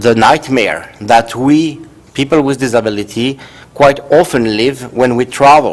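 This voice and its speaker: At a fairly slow pace, a man talks with a Swiss French accent. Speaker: professor. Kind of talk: conference talk. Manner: halting.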